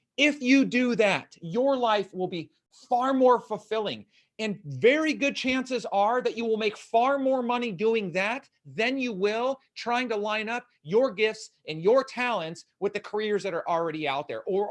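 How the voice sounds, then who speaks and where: Against a quiet background, a man speaks loudly and fairly slowly in a high pitch, with an animated tone and lively intonation. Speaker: motivational speaker and coach. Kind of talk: live-streamed Q&A talk.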